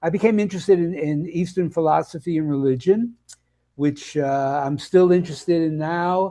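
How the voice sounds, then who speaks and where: A man speaks with a high pitch and ordinary pitch variation. His tone is dark and mellow, at a moderate pace. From US Northeast, Brooklyn, New York. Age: 80s+. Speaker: health and nutrition coach. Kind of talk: interview. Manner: halting, many fillers.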